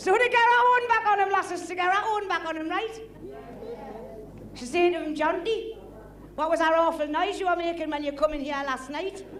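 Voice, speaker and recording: A woman with a Geordie accent and an extremely high pitch speaks at a fairly quick pace with ordinary pitch variation and long, frequent pauses, in audible room echo. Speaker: comedian. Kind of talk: stand-up.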